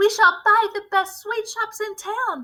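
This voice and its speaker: Using a squeaky, put-on character voice, a woman speaks at a fairly slow pace with extremely high pitch and fairly even intonation. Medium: read story. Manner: fawning.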